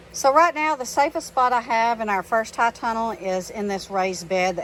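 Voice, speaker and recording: This woman has a Texan accent. Her intonation is lively. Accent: Texas accent, drawn-out vowels. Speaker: gardening vlogger. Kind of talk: casual tutorial. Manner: casual, with many fillers.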